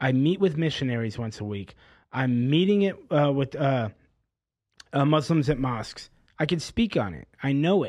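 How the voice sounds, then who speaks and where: A man's plain, everyday voice, fairly high in pitch, with lively intonation at a moderate pace against a quiet background. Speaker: documentary maker. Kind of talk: casual interview conversation.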